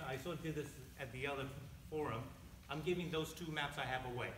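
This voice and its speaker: Fairly high male voice with ordinary pitch variation, amid noticeable background noise and audible room echo. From Taiwan, then Maryland from age eight. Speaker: map maker and political candidate. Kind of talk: campaign speech. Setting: candidate forum with audience. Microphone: held too far from mouth.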